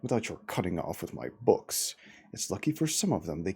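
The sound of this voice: Reading in an unforced voice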